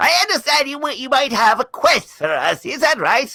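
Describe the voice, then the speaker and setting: A put-on character voice at a high pitch delivers its lines at a moderate pace. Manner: acting in a fantasy role.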